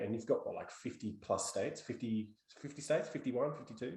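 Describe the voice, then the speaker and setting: Fairly quick pace from a man with an Australian accent. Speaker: podcast host. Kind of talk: casual chat.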